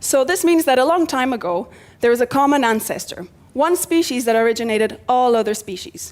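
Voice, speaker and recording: Lively intonation carries a woman's high-pitched voice at a fairly quick pace. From Portugal. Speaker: PhD researcher in biomedical engineering. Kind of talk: science communication competition talk. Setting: live stage before audience.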